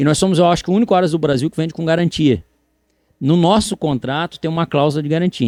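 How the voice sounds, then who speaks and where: A man's voice comes through on a very clean recording, the background silent. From Brazil, Florianópolis, Santa Catarina. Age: 40s. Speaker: horse breeder. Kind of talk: podcast interview. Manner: animated.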